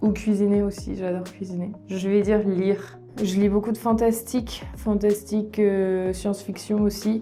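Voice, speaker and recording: A woman at a medium pitch speaks at a fairly slow pace with hardly any pauses and ordinary pitch variation. Noticeable background noise is present. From France, Issoudun. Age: 30s. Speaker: French exam coordinator. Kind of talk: casual interview answer. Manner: warm, dynamic.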